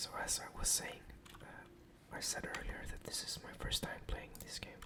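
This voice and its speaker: A man whispers at a moderate pace while noticeable background noise fills the recording. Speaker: ASMR gaming content creator. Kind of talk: ASMR whispered gameplay commentary. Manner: whispered, soft-spoken.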